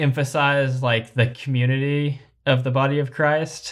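A man's fairly high voice with an American accent, on a very clean recording with a silent background. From Kentucky, US. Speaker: podcast co-host, parent. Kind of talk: casual chat.

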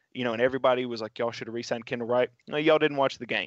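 The background stays quiet as a man talks. His voice sounds dry and close, without echo. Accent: Tennessee. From West Tennessee, Dyersburg. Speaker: sports podcast co-host and writer. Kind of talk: casual chat.

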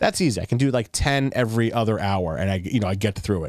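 In a very clean recording with a silent background and a dry, close sound with no echo, a normal speaking voice moves at a moderate pace with lively intonation. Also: man. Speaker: podcast host. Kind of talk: casual chat. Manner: rambling, filler-heavy.

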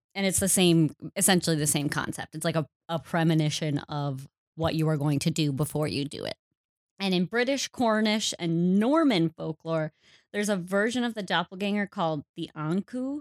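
In a Wisconsin accent, a woman speaks at a moderate pace and a fairly low pitch. The recording is very clean, with a silent background. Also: lively intonation, dry, close sound with no echo. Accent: Upper Midwest (Wisconsin). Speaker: podcast co-host. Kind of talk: casual chat.

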